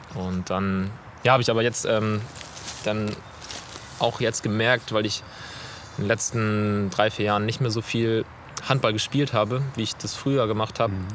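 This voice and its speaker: Over noticeable background noise, a man speaks at a fairly slow pace in a monotone, flat way, with long, frequent pauses. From northern Germany, near Flensburg. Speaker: physiotherapist. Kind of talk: casual interview. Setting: outdoors in a city forest. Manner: hesitant, many fillers.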